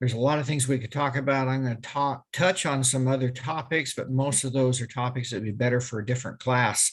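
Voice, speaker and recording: Talking at a fairly quick pace with hardly any pauses, a man with a somewhat breathy, medium-pitched voice keeps a fairly even intonation. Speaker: crime scene evidence expert and police officer. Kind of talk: webinar lecture. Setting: video call webinar.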